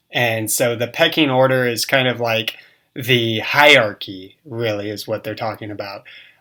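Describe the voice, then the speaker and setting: In an American accent, a man with a bright, sharp tone speaks at a medium pitch and a moderate pace, his intonation fairly even. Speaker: English teacher. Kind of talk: casual online English lesson.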